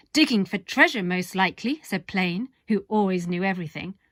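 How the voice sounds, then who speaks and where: Speaking in an English accent, a woman with a bright, sharp tone talks at a moderate pace and a medium pitch. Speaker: storyteller. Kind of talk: children's story reading.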